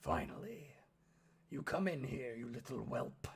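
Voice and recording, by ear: Putting on a character voice, a man sounds gruff, husky and raspy, speaking at a medium pitch and a moderate pace.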